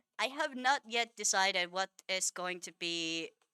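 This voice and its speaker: Lively intonation and a bright, sharp tone come through with a Finnish accent in a dry, close sound with no echo. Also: woman. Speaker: vtuber streamer. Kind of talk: live-stream gameplay chat. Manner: casual, filler-heavy.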